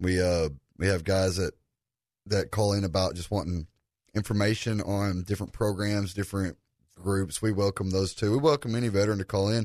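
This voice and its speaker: A man with a plain, everyday voice and a fairly low pitch talks at a fairly quick pace with fairly even intonation against a quiet background. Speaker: veterans suicide prevention advocate. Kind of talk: radio interview.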